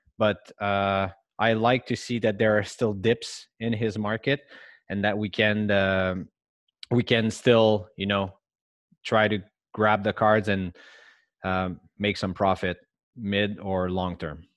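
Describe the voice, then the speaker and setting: Speaking with a French accent, a man uses a fairly low pitch and monotone, flat intonation. He goes at a very slow pace with long, frequent pauses. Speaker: sports card investor co-host. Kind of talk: casual chat.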